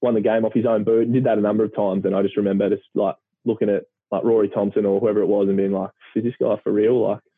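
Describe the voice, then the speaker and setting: A man with an Australian accent speaks at a very fast pace and a fairly low pitch, with monotone, flat intonation and very even loudness. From country Victoria, Australia. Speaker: retired professional footballer. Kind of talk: casual chat.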